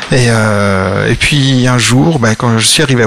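Noticeable background noise under a man's medium pitch and normal pitch movement. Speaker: board game publisher. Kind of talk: casual chat.

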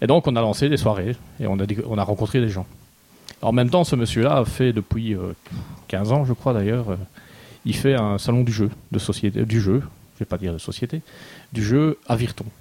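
At a moderate pace and with long, frequent pauses, a man talks in a medium pitch with ordinary pitch variation and a dark, mellow tone. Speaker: board game reviewer. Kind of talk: casual chat.

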